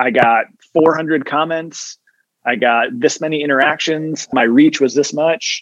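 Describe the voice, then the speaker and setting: A man with an American accent speaks in a normal speaking voice, fairly high in pitch, with ordinary pitch variation and a fairly slow pace. The sound is dry and close, with no echo. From upstate New York. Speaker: event host and social media influencer. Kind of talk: casual interview.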